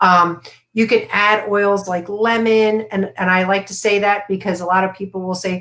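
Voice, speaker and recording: Intonation stays monotone and flat while the words come at a moderate pace. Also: woman, medium pitch for a woman. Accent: American. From US, Florida. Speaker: essential oils and meditation educator. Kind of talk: live stream interview. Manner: casual, many fillers.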